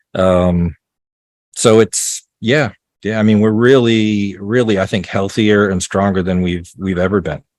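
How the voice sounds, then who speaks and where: This man has an ordinary speaking voice with a fairly low pitch, talking at a fairly slow pace with fairly even intonation. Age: 60s. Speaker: off-grid homesteader and author. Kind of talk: interview.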